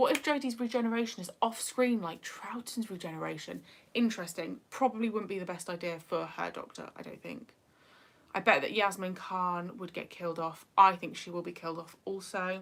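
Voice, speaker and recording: With a northeast English accent, a woman speaks at a fairly quick pace with big swings in loudness. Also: medium pitch for a woman, ordinary pitch variation. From northeast England. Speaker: YouTuber. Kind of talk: livestream chat. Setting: livestream.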